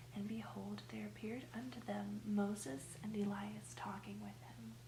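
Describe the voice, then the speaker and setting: Noticeable background noise sits behind this recording. A soft-spoken woman talks at a fairly slow pace. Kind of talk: scripture reading.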